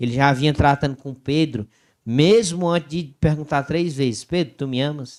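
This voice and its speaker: A man with a Cearense accent, fairly high pitch and ordinary pitch variation, at a moderate pace on a very clean recording with a silent background. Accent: Cearense Brazilian Portuguese. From Ceará, northeastern Brazil. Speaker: Bible study podcast co-host. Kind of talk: casual Bible discussion.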